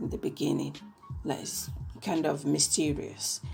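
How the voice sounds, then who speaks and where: A woman speaks with an Italian accent over music in the background. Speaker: K-pop reviewer. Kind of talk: casual podcast-style review.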